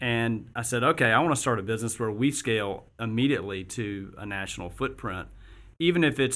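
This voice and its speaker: A man with an American accent and a normal speaking voice talks at medium pitch and a moderate pace. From US South, Augusta, Georgia. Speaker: business founder and CEO. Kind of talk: interview. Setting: studio.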